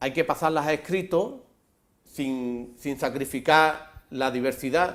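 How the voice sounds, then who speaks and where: A man's fairly high-pitched voice at a very slow pace, with ordinary pitch variation. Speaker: advocate of written Andalusian. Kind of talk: TV interview answer.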